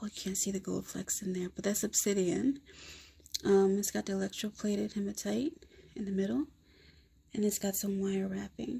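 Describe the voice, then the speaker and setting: With long, frequent pauses, a woman speaks in a somewhat breathy voice with a dark, mellow tone and ordinary pitch variation. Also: medium pitch for a woman, moderate pace. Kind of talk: casual talk to camera. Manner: whispered.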